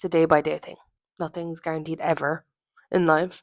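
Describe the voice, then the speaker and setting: Captured dry and close with no echo, a woman's voice sits in a very clean recording over silence. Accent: Irish. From Ireland. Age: 20s. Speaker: podcast host. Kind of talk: casual solo podcast monologue. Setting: at home in her apartment.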